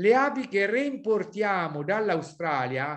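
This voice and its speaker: Over a quiet background, a man talks fairly slowly in a high voice with lively intonation. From central Italy, Sibillini area; central Italy. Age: 60s. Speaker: beekeeping professor. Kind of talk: webinar presentation. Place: home room. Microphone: video call.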